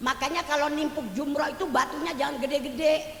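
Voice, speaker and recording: With noticeable background noise and audible room echo, a woman speaks in an animated tone at a fairly quick pace and a high pitch. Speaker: female Islamic preacher. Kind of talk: sermon.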